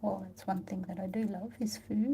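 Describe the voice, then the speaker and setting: The speaker is a woman. She talks in an Australian accent. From Australia, Tasmania. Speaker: watercolour artist. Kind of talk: live painting tutorial chat. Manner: casual, hesitant with fillers.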